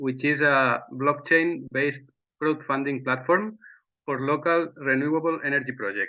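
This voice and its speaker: Moderate pace and ordinary pitch variation. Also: man, fairly high pitch for a man. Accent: Spanish. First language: Spanish. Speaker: startup CEO. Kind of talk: webinar presentation. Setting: online webinar. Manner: halting.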